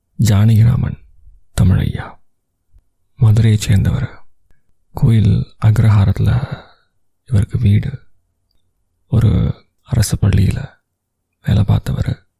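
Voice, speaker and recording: This man has an ordinary speaking voice, a fairly low pitch, and very even loudness. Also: ordinary pitch variation. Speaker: radio jockey, storyteller. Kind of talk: emotional audio story narration. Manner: calm, conversational storytelling.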